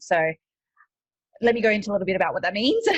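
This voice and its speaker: A somewhat breathy woman with an Australian accent, ordinary pitch variation and a dry, close sound with no echo. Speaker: e-commerce coach and entrepreneur. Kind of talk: podcast interview. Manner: hesitant, many fillers.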